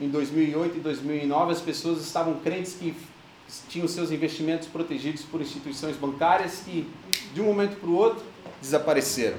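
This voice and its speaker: With audible room echo and noticeable background noise, a man's fairly high voice holds a fairly even intonation. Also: moderate pace. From Brazil. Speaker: pastor. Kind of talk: sermon.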